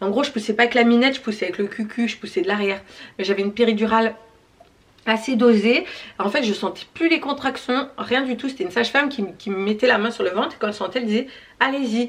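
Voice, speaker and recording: Speaking at a very fast pace, a woman with a fairly high pitch uses ordinary pitch variation. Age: 30s. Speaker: YouTuber. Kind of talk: Q&A vlog.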